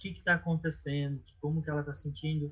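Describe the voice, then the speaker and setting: A man is speaking. His pitch is fairly high. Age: 30s. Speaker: clown and NGO finance manager. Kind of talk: casual interview. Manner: halting.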